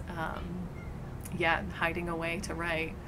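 The pace is very slow. Noticeable background noise runs underneath. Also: woman. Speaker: poet. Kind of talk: interview answer. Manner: casual, hesitant. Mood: thoughtful, reflective. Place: garden.

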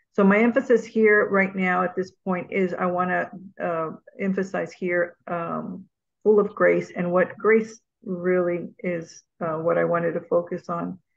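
The intonation is fairly even. A woman talks at a fairly slow pace. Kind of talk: reading aloud. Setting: video call. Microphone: video call.

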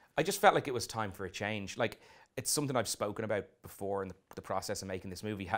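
With an Irish accent, a man speaks very fast in a fairly low pitch. His pitch varies in an ordinary way, and the background is quiet. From Ireland. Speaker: film director. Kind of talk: interview. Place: studio. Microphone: lapel.

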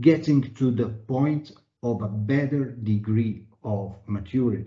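At a very slow pace, a man speaks in a somewhat breathy voice of medium pitch with ordinary pitch variation. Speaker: webinar moderator, internal audit executive. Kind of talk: moderated panel discussion. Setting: video call webinar. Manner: formal, uses many fillers. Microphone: video call.

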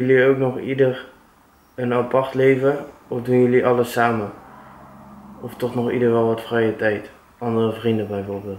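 At a moderate pace, a man speaks in a flat monotone with long, frequent pauses, amid light background noise and audible room echo. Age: 20s. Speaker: vlogger's boyfriend. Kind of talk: casual chat. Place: home room. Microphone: camera far.

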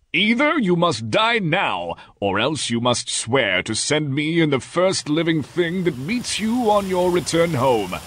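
Using a put-on character voice, a man speaks in a high pitch at a fairly slow pace with hardly any pauses. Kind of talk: fairytale read-aloud acting. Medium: read story. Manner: angry and threatening, then pleading and sorrowful.

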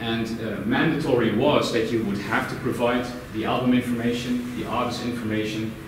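A man keeps to a moderate pace while light background noise and audible room echo fill the recording. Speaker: presenter. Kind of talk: presentation talk. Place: meeting room. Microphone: camera far.

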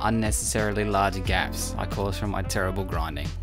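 Over music in the background, a man with a very deep, low voice makes very wide pitch swings. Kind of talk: tutorial voice-over narration.

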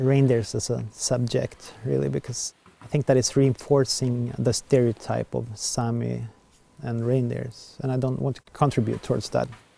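A man talks at a moderate pace with a Swedish accent. The sound is dry, with no echo. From southern Sweden. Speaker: artist, documentary subject. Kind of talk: documentary interview. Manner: halting. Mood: reflective, somewhat frustrated.

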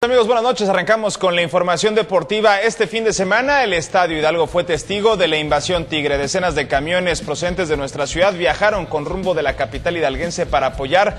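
Over light background noise, a man rattles along at a very fast pace with hardly any pauses, his high pitch showing ordinary variation. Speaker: news anchor. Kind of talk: news presentation. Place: studio.

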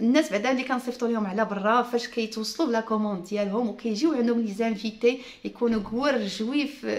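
Fairly quick speech from a woman, fairly high in pitch, with fairly even intonation and hardly any pauses. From Morocco. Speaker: YouTuber and home furnishing entrepreneur; vlogger. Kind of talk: casual vlog talk to viewers. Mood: earnest, explaining, smiling. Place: home room. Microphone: phone near.

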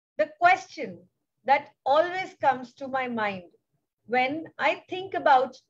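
This woman has an Indian accent and a high pitch. She talks at a very slow pace with very wide pitch swings. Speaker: foundation founder. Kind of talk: speech. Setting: video call.

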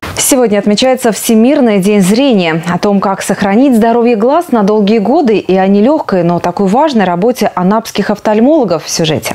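Her fairly high voice holds very even loudness as this woman speaks at a moderate pace with lively intonation and hardly any pauses. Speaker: news anchor. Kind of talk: news reading. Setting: studio. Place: studio. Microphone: lapel.

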